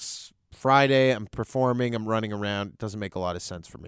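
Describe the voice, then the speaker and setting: A man speaks in an ordinary speaking voice at medium pitch and a moderate pace, on a very clean recording with a silent background. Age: 30s. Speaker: comedian. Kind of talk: casual chat. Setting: studio.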